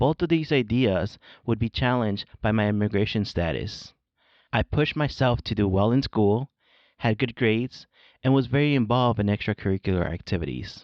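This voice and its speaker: Talking at a fairly quick pace in a Spanish accent, a man holds a medium pitch with ordinary pitch variation and very even loudness. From born in Mexico, grew up in California and Chicago. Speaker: podcast host, education professor. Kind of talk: scripted narration. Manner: formal.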